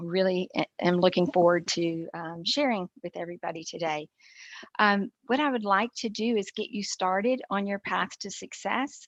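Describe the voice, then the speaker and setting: Speaking in an ordinary speaking voice with an American accent, a woman uses medium pitch, moderate pace and ordinary pitch variation in a dry, close sound with no echo against a quiet background. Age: 60s. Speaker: entrepreneur and keynote speaker. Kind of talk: keynote talk.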